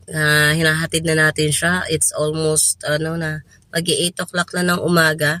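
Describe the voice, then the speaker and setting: With a very deep, low pitch and a bright, sharp tone, a woman speaks at a moderate pace in a monotone, flat intonation, recorded with a dry, close sound and no echo. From Philippines. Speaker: vlogger. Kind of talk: casual vlog talk. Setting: in a car in a parking lot.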